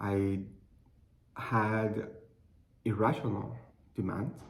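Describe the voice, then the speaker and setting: A man with a Cuban accent speaks at a fairly low pitch, somewhat breathy. Room echo is audible. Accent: noticeable Cuban Spanish. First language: Spanish. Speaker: clinical research associate. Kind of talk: personal testimony. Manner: halting.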